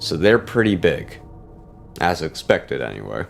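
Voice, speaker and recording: A man speaks. Music plays in the background. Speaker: lore theory video creator. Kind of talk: casual talk to camera. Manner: halting, stuttering, pausing between words.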